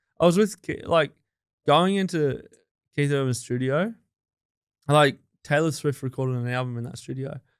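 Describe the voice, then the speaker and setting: A man with an Australian accent speaks in a fairly high pitch at a moderate pace, with ordinary pitch variation and long, frequent pauses. The recording is very clean, with a silent background. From regional New South Wales, Australia. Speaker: music producer. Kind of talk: casual interview chat. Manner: casual, hesitant with fillers.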